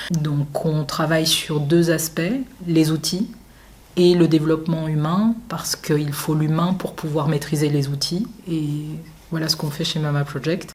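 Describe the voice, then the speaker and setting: Noticeable background noise sits behind a woman with a very deep, low pitch. She talks at a fairly slow pace with fairly even intonation. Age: 30s. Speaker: journalist and entrepreneur. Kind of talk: interview. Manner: frequent filler hesitations.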